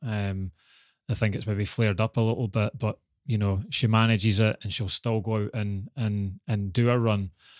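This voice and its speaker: In a Scottish accent, a man speaks at a moderate pace with a fairly low pitch and fairly even intonation. The recording is very clean and dry, with a close sound, no echo and a silent background. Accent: Scottish (Fife). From Scotland, Dunfermline (Fife). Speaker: retired Olympic sprinter. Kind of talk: interview.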